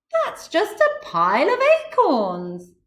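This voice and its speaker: A woman puts on a character voice pitched extremely high, delivering it at a fairly slow pace. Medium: read story. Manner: excitable.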